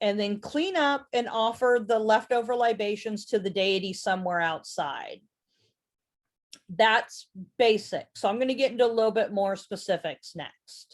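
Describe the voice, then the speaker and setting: A woman uses a plain, everyday voice with lively intonation at a fairly high pitch. The recording is very clean, with a silent background. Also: moderate pace. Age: 40s. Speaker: presenter teaching witchcraft. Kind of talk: lecture.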